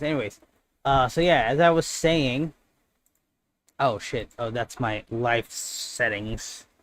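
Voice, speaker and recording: Ordinary pitch variation marks a man's voice, which sits at a medium pitch. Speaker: gaming streamer. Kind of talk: live stream gameplay chat. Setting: live stream. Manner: loud; casual, halting with fillers.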